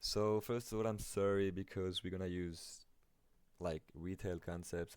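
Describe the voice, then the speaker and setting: A man with a non-native accent and a very deep, low pitch keeps his intonation fairly even on a very clean recording with a silent background. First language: not English. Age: 20s. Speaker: amateur trader, video creator. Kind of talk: tutorial. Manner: casual, hesitant with fillers.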